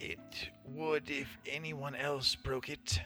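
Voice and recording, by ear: Over clear background music, a man uses a put-on character voice, fairly high in pitch, and speaks at a very slow pace.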